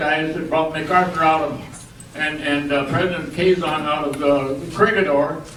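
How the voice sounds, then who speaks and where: There is noticeable background noise behind this man's voice. He talks at a moderate pace in a high pitch, with an American accent. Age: 80s+. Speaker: war veteran. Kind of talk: reunion speech.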